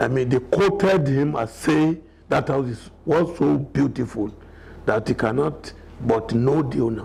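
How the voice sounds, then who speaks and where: Speaking at a fairly slow pace with a Nigerian accent, this voice carries lively intonation over noticeable background noise. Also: man. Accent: Nigerian (Yoruba) English. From Nigeria, Ekiti State (Yoruba). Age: 70s. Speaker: elder telling life story. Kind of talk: biographical interview. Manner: halting, with fillers.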